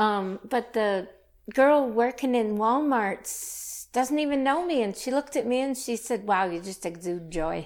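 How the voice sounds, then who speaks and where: With lively intonation and fairly high pitch, a woman talks at a moderate pace in a normal speaking voice on a very clean recording with a silent background. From Saskatchewan, Canada. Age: 50s. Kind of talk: testimony.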